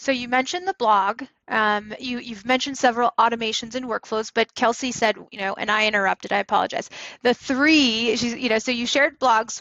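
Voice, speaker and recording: A woman talks at a fairly quick pace in a normal speaking voice. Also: fairly high pitch for a woman, ordinary pitch variation. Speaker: real estate coach and podcast host. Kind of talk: podcast host talk.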